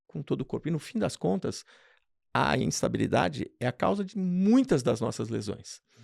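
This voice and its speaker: With vocal fry and very wide pitch swings, a man's fairly high voice comes through dry and close with no echo, on a very clean recording with a silent background. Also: moderate pace. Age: 60s. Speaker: radiologist. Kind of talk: interview.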